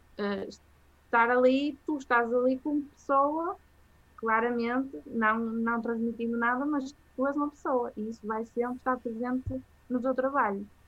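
A woman talks at a fairly slow pace in a high pitch, with fairly even intonation. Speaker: journalist. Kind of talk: casual interview. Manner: hesitant, many fillers.

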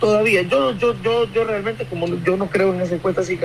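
Moderate pace and ordinary pitch variation in a high male voice. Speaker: opposition party member. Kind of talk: phone interview. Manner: halting.

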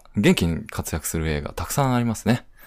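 The recording is very clean against a silent background. A man talks fairly quickly, his intonation lively. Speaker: livestream moderator. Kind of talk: casual chat. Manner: halting, many fillers.

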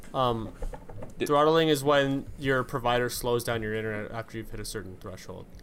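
An ordinary speaking voice from a man with a Canadian accent, medium pitch, ordinary pitch variation, moderate pace and big swings in loudness. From Saskatchewan, Canada. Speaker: podcast host. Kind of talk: casual chat.

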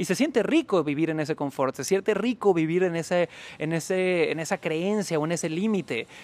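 At a fairly quick pace, a man in a Mexican accent talks with a high pitch and ordinary pitch variation, the sound dry and close with no echo. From Mexico, Cancún. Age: 30s. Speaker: sales trainer. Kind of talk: interview.

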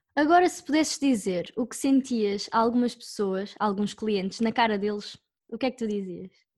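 A woman with a fairly high, somewhat breathy voice talks at a moderate pace, showing big swings in loudness. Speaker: reporter. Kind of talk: scripted narration.

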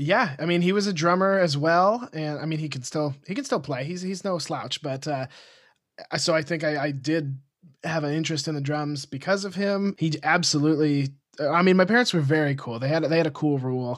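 In a very clean recording with a silent background, a man with an American accent speaks at a fairly quick pace, his fairly high pitch showing ordinary variation. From Montana, US. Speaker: podcaster and musician. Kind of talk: casual chat. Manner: animated.

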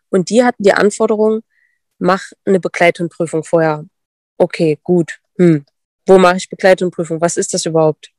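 The woman's pitch is fairly low, and her intonation stays fairly even. She talks at a moderate pace. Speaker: dog sport competitor and breeder. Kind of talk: casual interview.

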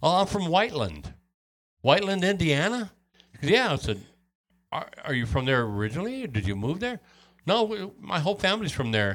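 Talking at a fairly quick pace with long, frequent pauses, a man with an American accent uses a high voice that swings very widely in pitch. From Wisconsin. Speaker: podcast host interviewing musician. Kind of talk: casual interview chat.

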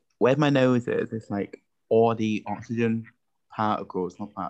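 In a British accent, a man speaks at a medium pitch and a fairly slow pace. His intonation is fairly even against a quiet background. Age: young (19). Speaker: podcast host. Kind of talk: casual chat. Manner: laughs often.

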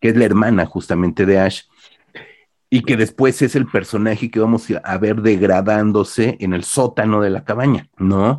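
A fairly low-pitched man with a Mexican accent, fairly even intonation and a moderate pace, against a quiet background. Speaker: podcast host, horror film critic. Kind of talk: casual chat.

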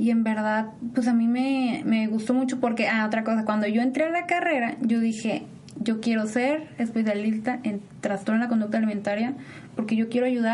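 With noticeable background noise and audible room echo, a woman speaks fairly quickly at a fairly high pitch, her intonation fairly even and her loudness very even. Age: 20s. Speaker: nutrition and psychology student. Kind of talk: interview. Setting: university.

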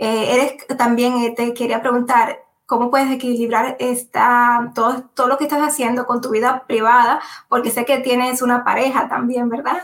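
Here a woman with a high pitch speaks at a moderate pace in a monotone, flat intonation. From Dominican Republic. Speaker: podcast host. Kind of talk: interview.

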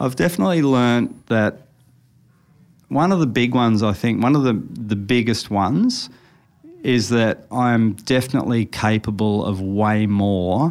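A man with an Australian accent speaks fairly slowly at a medium pitch. His intonation is lively. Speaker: tattoo artist. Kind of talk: casual chat. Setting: studio.

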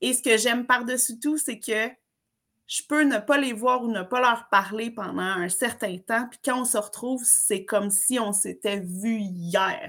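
Speaking at a very slow pace, a woman uses a fairly high pitch with a bright, sharp tone and ordinary pitch variation. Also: big swings in loudness. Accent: Quebec. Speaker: summer camp trainer. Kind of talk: casual interview. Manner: animated.

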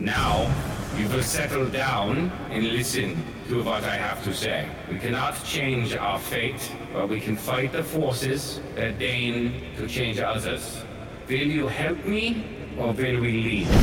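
Using a booming put-on character voice at a medium pitch, a man speaks at a fairly slow pace. There is a clear echo and loud background noise. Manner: commanding, solemn.

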